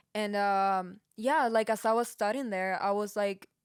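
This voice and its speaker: In a very clean recording with a silent background, a woman with a Peruvian accent talks fairly quickly at a medium pitch with fairly even intonation. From Peru, Lima. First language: Spanish. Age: 20s. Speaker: podcast co-host, music engineer. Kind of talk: casual chat.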